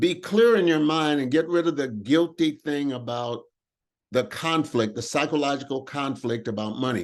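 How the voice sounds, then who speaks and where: Against a quiet background, a man with a normal speaking voice talks at a moderate pace and fairly high pitch, with ordinary pitch variation. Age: 60s. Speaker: motivational speaker, workshop host. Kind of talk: group talk on affirmations and prosperity.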